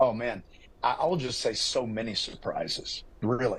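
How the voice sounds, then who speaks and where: At a moderate pace, a man speaks at a medium pitch in a somewhat breathy voice. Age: 70s. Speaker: football coach and pastor. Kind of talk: TV interview. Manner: animated.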